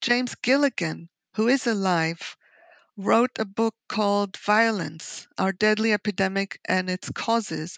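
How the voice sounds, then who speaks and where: A woman speaks at a very slow pace and a medium pitch, with ordinary pitch variation. The sound is dry and close with no echo, over a quiet background. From Israel. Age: 60s. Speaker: author and sociologist. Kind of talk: interview.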